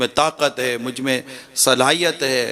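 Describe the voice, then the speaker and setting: A man's normal speaking voice at a medium pitch. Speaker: Islamic preacher giving a sermon. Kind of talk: religious sermon (bayan) telling a story.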